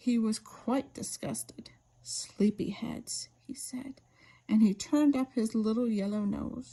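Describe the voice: Someone is reading aloud. The reading is plain.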